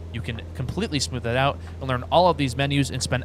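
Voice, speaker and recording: A man talks very fast with lively intonation. Audible room echo and noticeable background noise surround him. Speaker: flight instructor and sim YouTuber. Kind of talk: tutorial. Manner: casual.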